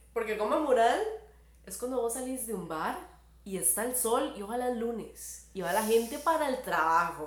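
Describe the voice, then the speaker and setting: Someone speaks with a Costa Rican accent at a moderate pace and with lively intonation, amid noticeable background noise and audible room echo. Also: woman, fairly high pitch for a woman. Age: 30s. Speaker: podcast guest. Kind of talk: casual chat.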